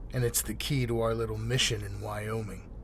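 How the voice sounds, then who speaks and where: Against clear background noise, a man puts on a gruff character voice and talks at a fairly quick pace. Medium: read story. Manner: dry, gruff.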